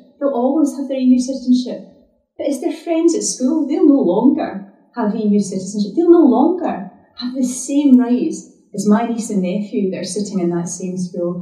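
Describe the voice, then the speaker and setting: At a moderate pace, a woman speaks with lively intonation at a high pitch, with audible room echo over a quiet background. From Scotland. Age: 40s. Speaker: politician. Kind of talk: public talk; public speech and answers to questions. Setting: stage with audience. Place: hall.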